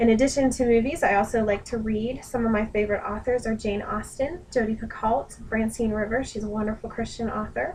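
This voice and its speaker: Somewhat breathy, the voice moves at a fairly quick pace with hardly any pauses and fairly even intonation. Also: woman, fairly high pitch for a woman. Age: 20s. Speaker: student and dog groomer. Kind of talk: self-introduction video. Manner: earnest, with frequent hesitations.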